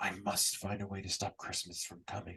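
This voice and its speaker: A growling, put-on character voice from a man, fairly low in pitch, at a moderate pace. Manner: growling, snarling.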